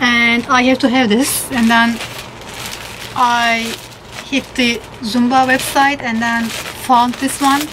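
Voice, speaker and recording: A woman's high-pitched voice with a non-native accent at a very slow pace, over light background noise. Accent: non-native English speaker. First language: not English. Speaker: Zumba fitness instructor. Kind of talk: casual talk to camera, unboxing haul. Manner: hesitant, with fillers. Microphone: phone near.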